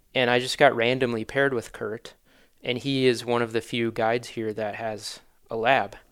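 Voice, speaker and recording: Monotone, flat delivery from a man at medium pitch with a Wisconsin accent, moderate pace, very clean recording with a silent background. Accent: Upper Midwest (Wisconsin). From Wisconsin, Manitowoc. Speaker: hunting gear business founder. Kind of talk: casual interview.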